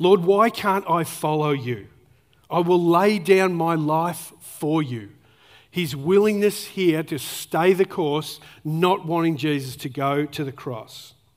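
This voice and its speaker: Someone with an Australian accent talks at a very slow pace on a very clean recording with a silent background. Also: man, high pitch for a man, ordinary pitch variation. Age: 40s. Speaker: pastor. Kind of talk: sermon. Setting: church.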